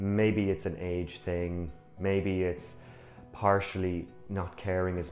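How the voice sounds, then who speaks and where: With music in the background, a man with a very deep, low pitch speaks in a calm tone. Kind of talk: personal reflection to camera. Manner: reflective, calm.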